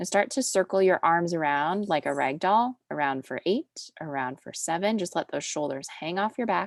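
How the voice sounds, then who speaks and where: Over a quiet background, a woman with a fairly low voice speaks at a moderate pace in a soothing tone, with lively intonation and a dry, close sound free of echo. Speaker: pilates instructor. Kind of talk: fitness class instruction; casual chat. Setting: video call.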